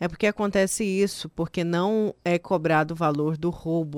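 A woman with a plain, everyday voice, fairly low in pitch, at a moderate pace and fairly even intonation, in a dry, close sound with no echo on a very clean recording with a silent background. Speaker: radio host. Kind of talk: live radio talk show.

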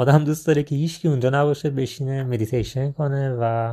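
A man speaks at a fairly high pitch and fairly quick pace in a dark, mellow tone. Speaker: travel storytelling podcaster. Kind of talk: personal travel storytelling.

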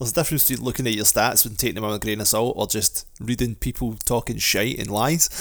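A man speaks in a Scottish accent at a very fast pace. His pitch is medium, with ordinary variation. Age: 40s. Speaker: podcast co-host. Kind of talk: casual chat. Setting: video call.

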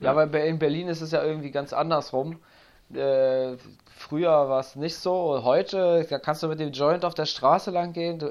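A man's fairly high-pitched, unremarkable speaking voice at a moderate pace, fairly even in intonation, against a quiet background. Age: 30s. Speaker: podcast host and addiction coach. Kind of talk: casual interview.

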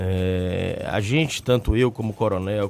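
A man's voice, with pitch moving in an ordinary way, is heard while music plays behind it. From Brazil, Salvador, Bahia. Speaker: state politician, mayoral pre-candidate. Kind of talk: radio interview. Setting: radio studio.

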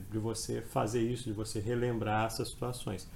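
A man speaks with a dark, mellow, somewhat breathy voice. Audible room echo can be heard. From Brazil, Espírito Santo (Colatina). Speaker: law exam prep professor. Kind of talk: podcast interview, explanatory lecture. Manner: halting, frequent repetitions.

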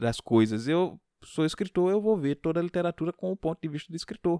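A man with a fairly high pitch and a dark, mellow tone speaks with lively intonation. The sound is dry and close with no echo, on a very clean recording with a silent background. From Pernambuco, Brazil. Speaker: podcast host, literature teacher. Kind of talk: casual solo talk on literature. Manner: hesitant, many fillers.

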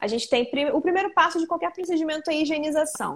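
The woman speaking shows ordinary pitch variation. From Brazil, Rio de Janeiro state, Arraial do Cabo. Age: 20s. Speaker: esthetician. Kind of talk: casual interview.

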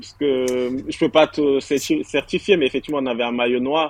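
A normal speaking voice at a moderate pace. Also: man. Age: 30s. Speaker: football fan. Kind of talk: casual chat.

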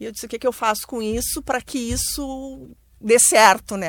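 A woman with a normal speaking voice talks at a moderate pace with ordinary pitch variation. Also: very clean recording, silent background. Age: 50s. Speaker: bank worker and entrepreneur. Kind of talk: radio panel discussion. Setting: studio.

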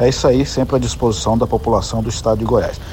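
There is noticeable background noise here. A man speaks at a fairly quick pace. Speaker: state transit agency head. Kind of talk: recorded voice message.

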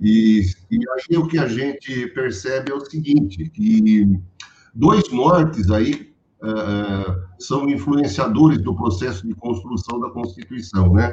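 A man talks at a fairly slow pace in a somewhat breathy voice, his pitch swinging very widely. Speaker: professor. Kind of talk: panel discussion. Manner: halting.

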